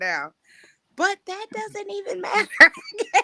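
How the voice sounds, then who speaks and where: A woman speaks at a moderate pace in a raised, projected voice with a bright, sharp tone. Her pitch swings very widely, and the sound is dry and close with no echo. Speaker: podcast host, editor and writing coach. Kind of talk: casual livestream podcast chat. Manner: loud.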